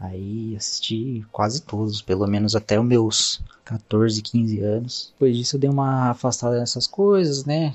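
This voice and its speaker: Delivered at a fairly slow pace with hardly any pauses, a plain, everyday voice carries ordinary pitch variation. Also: man, medium pitch for a man. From Indaiatuba, São Paulo state, Brazil. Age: 20s. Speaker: listener. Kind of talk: recorded listener message.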